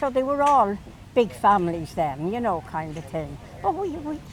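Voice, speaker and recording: Speaking at a moderate pace with a Dublin accent, a woman lets her pitch swing very widely. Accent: Dublin Irish. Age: 80s+. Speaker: elderly local resident. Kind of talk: casual reminiscing interview. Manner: halting.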